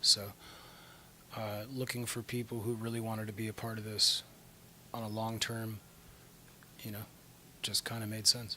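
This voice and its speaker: This soft-spoken man has a medium pitch and talks at a moderate pace. His intonation stays fairly even. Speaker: rock band singer. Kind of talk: interview. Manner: hesitant, filler-heavy.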